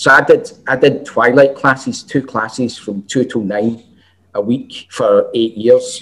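A man with a Glaswegian accent talks at a fairly slow pace. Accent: Glaswegian Scottish. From Scotland, Glasgow. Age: 40s. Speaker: chef and college lecturer. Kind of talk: casual chat.

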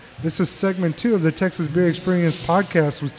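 A man with an American accent and a high pitch. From Mexico, raised on the US border. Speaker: beer podcast host. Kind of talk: casual chat.

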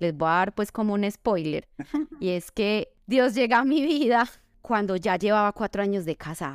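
A woman with a plain, everyday voice at a medium pitch and moderate pace, lively in intonation, on a very clean recording with a silent background. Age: 30s. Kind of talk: faith-based testimony and advice in interview.

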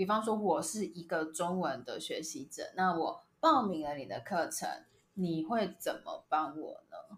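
A woman with a Taiwanese accent speaks at a fairly slow pace in a medium-pitched, somewhat breathy voice that rises and falls very widely. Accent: Taiwanese Mandarin. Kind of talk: casual chat. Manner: animated.

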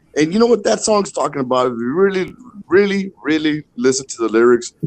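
A man with an American accent and an unremarkable speaking voice, fairly high in pitch, at a moderate pace, with a dry, close sound and no echo. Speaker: podcast guest. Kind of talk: casual chat.

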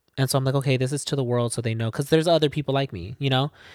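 An ordinary speaking voice with fairly even intonation. The recording is very clean, with a silent background and a dry, close sound with no echo. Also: man. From Arizona, Casa Grande. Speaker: singer-songwriter. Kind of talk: casual interview chat.

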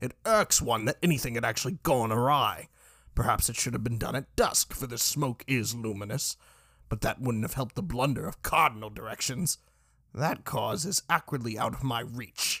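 A man's raspy, put-on character voice at medium pitch and moderate pace, in a dry, close sound with no echo. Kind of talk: formal, archaic.

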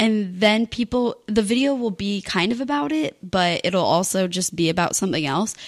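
On a very clean recording with a silent background, a woman speaks in a normal speaking voice at medium pitch, with lively intonation, a moderate pace and hardly any pauses. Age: 20s. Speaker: YouTuber. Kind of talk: casual chat.

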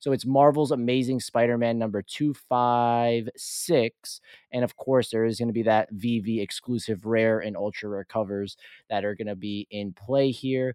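This man speaks at a moderate pace and medium pitch, with a dark, mellow tone and fairly even intonation. The sound is dry and close, with no echo. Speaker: podcast co-host. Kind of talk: casual chat.

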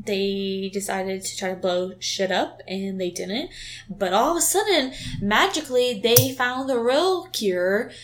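With lively intonation at a fairly slow pace, this is an unremarkable speaking voice. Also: woman. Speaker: movie review podcast co-host. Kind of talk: casual chat.

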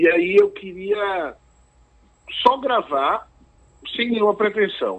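A man's high-pitched voice with ordinary pitch variation, a very slow pace, and long, frequent pauses. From Recife, Brazil. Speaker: singer-songwriter. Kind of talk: interview. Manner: halting.

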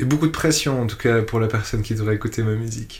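Speaking at a fairly quick pace, a man has a medium pitch and a somewhat breathy voice. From Switzerland. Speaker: electronic musician. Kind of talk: interview. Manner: halting.

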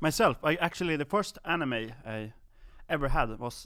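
A man with a Swedish accent speaks at a moderate pace in a fairly high pitch, his intonation lively and his tone bright and sharp, on a very clean recording with a silent background. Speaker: podcast co-host. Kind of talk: casual chat. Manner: halting.

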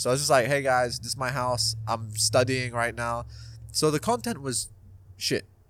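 A man speaks in a flat monotone at a moderate pace, his pitch medium. The recording is very clean, with a silent background. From Dubai and North London. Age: 20s. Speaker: YouTuber. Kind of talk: casual chat. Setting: at his home.

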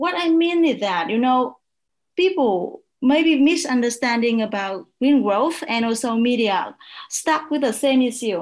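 With a Vietnamese accent, a woman speaks fairly slowly at a high pitch and with lively intonation. The background is quiet. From northern Vietnam, south of Hanoi. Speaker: media researcher. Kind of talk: panel discussion.

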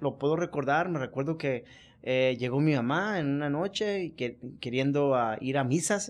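Against a quiet background, a man with a fairly high pitch talks at a moderate pace. His intonation is lively. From Culiacán, Sinaloa, Mexico. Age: 40s. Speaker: businessman and former prisoner. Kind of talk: interview testimony. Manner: halting, repetitive.

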